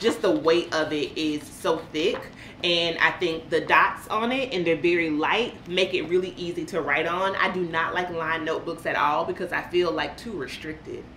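A woman with an American accent speaks at a moderate pace, with hardly any pauses, a fairly low pitch and ordinary pitch variation. The room has audible echo, and light background noise is present. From US South (central Florida). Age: 40s. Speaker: lifestyle vlogger. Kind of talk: casual vlog chat. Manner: animated. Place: home room.

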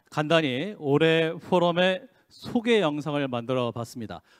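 The man's voice sits fairly high in pitch. The background is quiet. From South Korea. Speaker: announcer, event emcee. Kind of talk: ceremony hosting. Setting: conference hall with audience. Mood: polite, formal, welcoming. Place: hall. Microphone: handheld.

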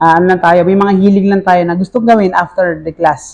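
At a moderate pace, a man talks in a high pitch. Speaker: elementary school teacher and YouTuber. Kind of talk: casual vlog monologue.

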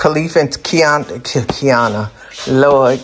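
Someone speaks at a very slow pace over light background noise. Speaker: home cook vlogger. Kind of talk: casual vlog chat. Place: kitchen. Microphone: phone near.

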